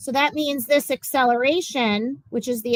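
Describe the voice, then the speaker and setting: Against a quiet background, a woman talks at a fairly quick pace with a dry sound and no echo. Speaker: physics teacher. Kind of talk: classroom lecture. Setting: classroom. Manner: fast.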